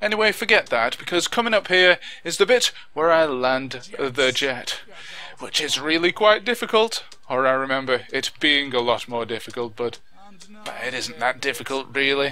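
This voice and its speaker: Against noticeable background noise, a man with a Lancashire accent speaks at a moderate pace, his fairly high pitch carried by lively intonation. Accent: Lancashire, Wigan. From northern England, Wigan. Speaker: YouTube gaming commentator. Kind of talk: video commentary. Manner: enunciates clearly; animated.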